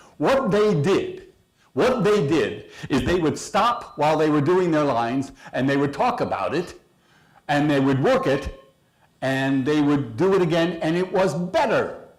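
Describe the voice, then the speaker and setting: A man's high voice with very wide pitch swings and very even loudness, fairly slow, in audible room echo. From San Francisco. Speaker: speaker. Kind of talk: speech.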